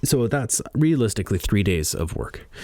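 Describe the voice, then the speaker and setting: A man speaks at a moderate pace. He has a slight Canadian accent. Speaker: podcaster and audiobook narrator. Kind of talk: casual monologue. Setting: studio.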